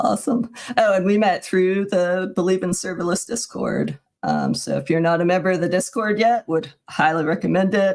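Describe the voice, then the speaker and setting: With an American accent and a plain, everyday voice, a woman speaks at a moderate pace and medium pitch with ordinary pitch variation. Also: very even loudness. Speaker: software engineering manager. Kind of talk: casual tech livestream chat.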